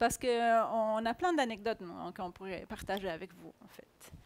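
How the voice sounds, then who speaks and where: On a very clean recording with a silent background, a woman talks at a moderate pace with ordinary pitch variation and big swings in loudness. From Chile, Santiago. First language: Spanish (speaking French). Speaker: agile coach. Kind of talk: conference talk.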